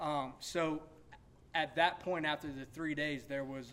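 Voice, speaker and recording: Speaking at a moderate pace with an American accent, a man has a normal speaking voice with a fairly high pitch. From South Carolina. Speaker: hunter on a panel. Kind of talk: panel Q&A. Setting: stage with audience.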